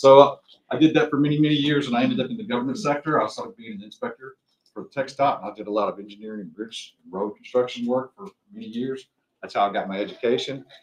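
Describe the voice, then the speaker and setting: Talking at a very fast pace in a Texas accent, a man with a fairly high pitch shows very wide pitch swings and big swings in loudness. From Texas, Tarrant County. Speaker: construction project manager. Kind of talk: self-introduction at a seminar.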